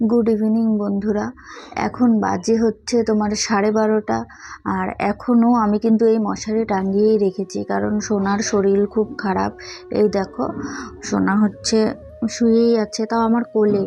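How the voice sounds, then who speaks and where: A soft-spoken woman with a fairly high pitch talks in a flat, monotone way over noticeable background noise. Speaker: vlogger, mother of a sick child. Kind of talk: casual vlog to viewers. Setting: at home at night, child in lap. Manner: soft-spoken, quiet.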